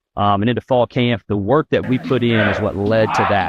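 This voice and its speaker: A man with an American accent and ordinary pitch variation, in a dry, close sound with no echo and a quiet background. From Virginia. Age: 30s. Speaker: college football head coach. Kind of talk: interview.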